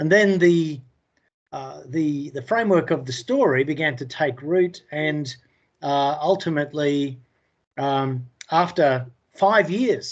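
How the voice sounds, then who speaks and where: Speaking very slowly with long, frequent pauses, a man with an Australian accent uses a fairly high pitch and ordinary pitch variation. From England. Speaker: indie author. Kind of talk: interview. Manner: halting, many fillers.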